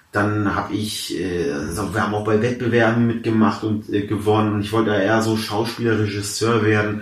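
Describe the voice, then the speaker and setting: A man's fairly low, monotone, flat voice at a fairly quick pace, with audible room echo and noticeable background noise. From Hamburg, Germany, Persian family. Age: 20s. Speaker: comedian. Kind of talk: casual interview chat.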